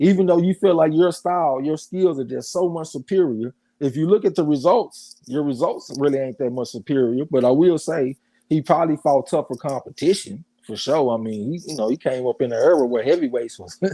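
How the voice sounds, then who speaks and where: In a Southern accent, a man with a dark, mellow tone speaks at a fairly quick pace with lively intonation, the sound dry and close with no echo on a very clean recording with a silent background. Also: fairly high pitch for a man. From US South. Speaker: boxing show host. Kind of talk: casual chat.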